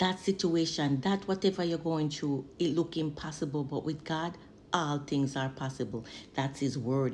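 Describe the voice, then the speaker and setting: A woman speaks in a Jamaican accent. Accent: Jamaican Patois. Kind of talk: spoken word poetry, religious encouragement. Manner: fervent, preaching.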